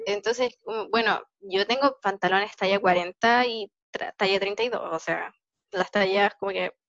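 A woman talks at a medium pitch in a Chilean accent. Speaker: podcast host. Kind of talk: casual chat.

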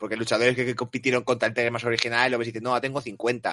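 A man at medium pitch talks very fast in a flat monotone. His tone is bright and sharp, and the sound is dry and close with no echo. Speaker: wrestling podcast host. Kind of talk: casual chat.

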